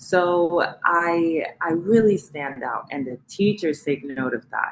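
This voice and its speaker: Through noticeable background noise, a woman with a Spanish accent speaks at a very deep, low pitch, varying it in an ordinary way. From Colombia, raised from age nine in the US South. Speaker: interviewer. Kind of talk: interview.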